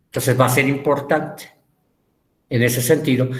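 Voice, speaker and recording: Audible room echo surrounds a man speaking at a medium pitch and moderate pace, his intonation monotone and flat. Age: 60s. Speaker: teacher. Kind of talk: lecture.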